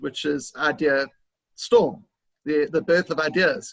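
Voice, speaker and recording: A man talks in a South African accent. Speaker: business consultant. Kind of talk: interview.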